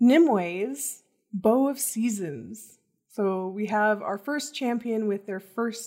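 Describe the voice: In plain reading aloud with ordinary pitch variation, the voice comes over a quiet background.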